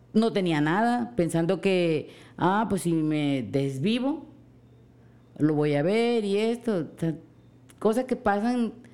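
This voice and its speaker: A woman speaks very slowly in a dark, mellow tone, her loudness very even throughout. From Mexican coast. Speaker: host's mother. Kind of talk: casual chat.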